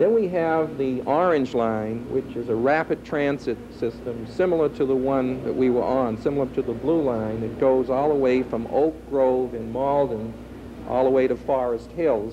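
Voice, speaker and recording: A man talks at a moderate pace, his pitch varying in an ordinary way, with noticeable background noise present. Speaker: teacher acting as tour guide. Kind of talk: interview answer. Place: hall. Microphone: handheld.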